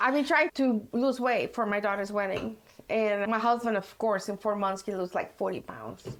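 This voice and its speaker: At a moderate pace, a woman with a Mexican accent talks at a fairly high pitch with ordinary pitch variation. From Mexico. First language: Spanish. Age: 50s. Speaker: hair colorist. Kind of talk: casual chat.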